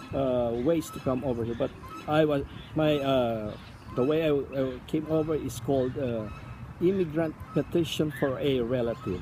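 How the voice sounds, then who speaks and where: The speaker has a Filipino accent, with noticeable background noise behind the voice. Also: moderate pace. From Philippines (Palawan). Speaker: immigrant interviewee. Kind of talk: interview. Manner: halting, many fillers.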